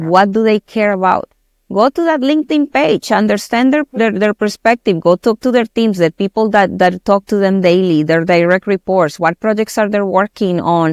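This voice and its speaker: In a Spanish accent, a woman at a medium pitch talks at a moderate pace with ordinary pitch variation, the sound dry and close with no echo on a very clean recording with a silent background. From Colombia. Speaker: tech company director. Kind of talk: podcast interview.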